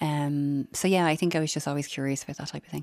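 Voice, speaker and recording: Speaking at a very fast pace, a woman with a Dublin accent has a very deep, low pitch. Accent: Dublin Irish. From Dublin (Finglas), Ireland. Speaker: pharmacy entrepreneur. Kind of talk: radio interview.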